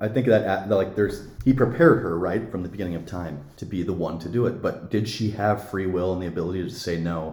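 A somewhat breathy man's voice, very deep and low, with an American accent, ordinary pitch variation, a fairly quick pace and hardly any pauses. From Montana (Billings). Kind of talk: interview about faith.

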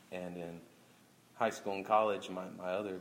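Audible room echo surrounds a man with an American accent. His pitch is very deep and low, and his pace is moderate. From Oklahoma City, Oklahoma. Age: 30s. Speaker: stand-up comedian. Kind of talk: casual interview. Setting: live event with audience.

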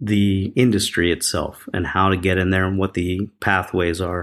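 A man with an American accent and a plain, everyday voice speaks at a moderate pace in a fairly low pitch, on a very clean recording with a silent background. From Philadelphia, US. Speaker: film studio president. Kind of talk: interview. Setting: podcast interview.

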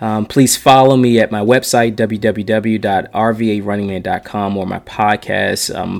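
In an unremarkable speaking voice, a man with fairly low pitch talks at a moderate pace with fairly even intonation. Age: 40s. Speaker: podcast host and runner. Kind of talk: solo podcast monologue. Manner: casual, with many fillers and restarts.

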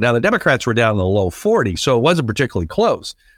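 Here a man is talking. His pace is very fast. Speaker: political analyst. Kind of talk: interview. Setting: remote call.

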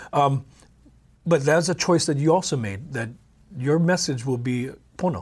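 A somewhat breathy man with a Hawaiian accent at a fairly high pitch, moderate pace, ordinary pitch variation, and long, frequent pauses. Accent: Hawaii local English. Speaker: podcast host. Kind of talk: interview, friendly conversation.

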